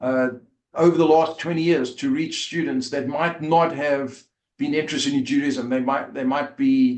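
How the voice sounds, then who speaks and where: A man with a South African accent speaks at a moderate pace. His fairly high voice stays monotone, with flat intonation. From South Africa, Port Elizabeth. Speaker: rabbi and former rugby player. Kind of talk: interview storytelling. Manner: halting, many fillers.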